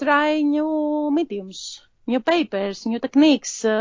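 With a Greek accent, a woman speaks at a high pitch with ordinary pitch variation. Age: 40s. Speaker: hobby artist, coloring enthusiast. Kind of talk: interview conversation. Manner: halting.

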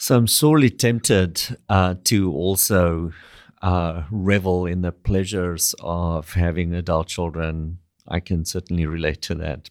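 A man's very deep, low voice at a fairly slow pace, fairly even in intonation, dry and close with no echo. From South Africa, Afrikaner. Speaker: co-host, academic. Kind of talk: scripted narration; interview conversation.

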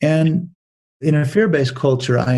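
This man has a dark, mellow tone that is somewhat breathy. His pitch variation is ordinary. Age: 60s. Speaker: business author and speaker. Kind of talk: interview.

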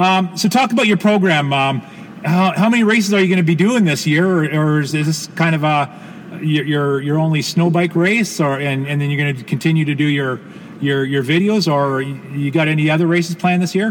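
Over noticeable background noise, a man with a fairly high pitch talks at a fairly quick pace with ordinary pitch variation. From Canada. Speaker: podcast host. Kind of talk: interview. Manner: halting, many repetitions and fillers.

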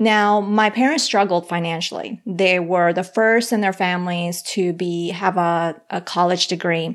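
A medium-pitched woman with a Spanish accent, fairly slow with hardly any pauses, fairly even in intonation, on a very clean recording with a silent background. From Colombia. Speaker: financial counselor and podcaster. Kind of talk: casual interview chat.

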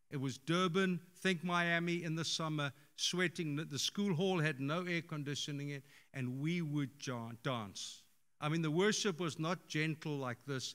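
On a very clean recording with a silent background, a man with a fairly high pitch, ordinary pitch variation and a moderate pace has an ordinary speaking voice. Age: 60s. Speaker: pastor. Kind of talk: sermon. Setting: church.

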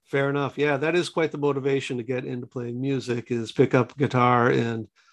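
A man talks at a moderate pace in an unremarkable speaking voice. His pitch is medium and his intonation fairly even. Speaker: podcast interviewer. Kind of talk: interview.

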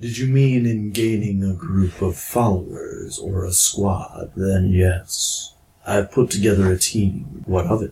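In a put-on character voice, a man talks at a fairly slow pace and fairly low pitch with hardly any pauses. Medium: actual play. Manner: stiff, formal.

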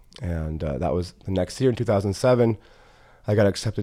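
His voice is very deep and low, dark and mellow, with ordinary pitch variation. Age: 30s. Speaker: holistic health practitioner. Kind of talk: casual chat.

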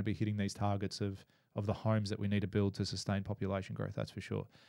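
A man with an Australian accent and fairly low pitch, in a very clean recording with a silent background. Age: 30s. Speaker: builder and business coach. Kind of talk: casual interview.

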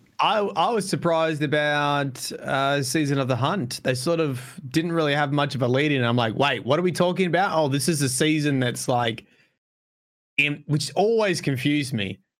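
Speaking at a moderate pace, a man with a fairly high pitch and a plain, everyday voice keeps his loudness very even and his pitch variation ordinary, on a very clean recording with a silent background. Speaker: podcast co-host. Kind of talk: casual banter podcast. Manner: joking, swearing.

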